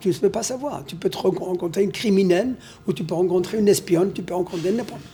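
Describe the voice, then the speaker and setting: A man speaks at a very fast clip in a high voice, with ordinary pitch variation. Noticeable background noise sits behind him. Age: 80s+. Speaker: elderly husband interviewed about marriage. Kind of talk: casual interview.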